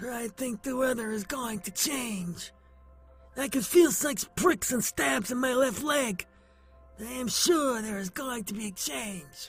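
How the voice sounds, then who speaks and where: Faint music plays behind a man doing a cartoonish character voice, gruff and hoarse. He pitches it extremely high and talks fairly slowly. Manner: gruff, know-it-all.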